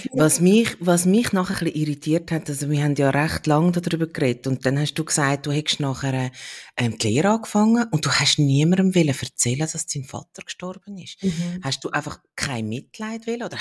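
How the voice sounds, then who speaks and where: The pitch swings very widely. The sound is dry and close, with no echo. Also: woman. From Switzerland. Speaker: podcast host. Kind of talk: casual interview conversation.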